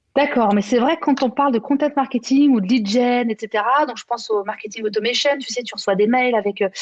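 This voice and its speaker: A woman speaks in a high voice with ordinary pitch variation, at a fairly quick pace with hardly any pauses, over noticeable background noise. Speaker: conference moderator. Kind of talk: conference panel discussion. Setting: trade show conference. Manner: fast.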